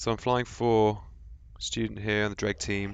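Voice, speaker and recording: A man with a British accent at a fairly quick pace, against a quiet background. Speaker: gaming commentator. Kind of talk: gameplay commentary. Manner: casual.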